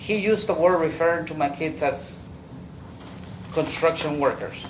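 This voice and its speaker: A man with a high pitch speaks at a moderate pace with fairly even intonation. Background noise is noticeable. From Mexico. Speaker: trial witness. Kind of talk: witness testimony. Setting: courtroom. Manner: halting.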